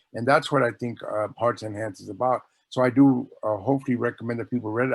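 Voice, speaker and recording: Against a quiet background, a man with medium pitch and an ordinary speaking voice talks at a fairly quick pace with ordinary pitch variation. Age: 60s. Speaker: author. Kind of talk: casual chat.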